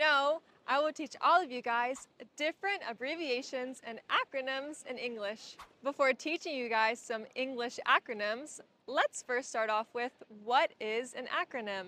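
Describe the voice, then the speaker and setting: A woman with a high pitch and an American accent speaks fairly slowly in a raised, projected voice with a bright, sharp tone and ordinary pitch variation, the sound dry and close with no echo. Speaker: English teacher. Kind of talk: casual talk to camera. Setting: outdoors.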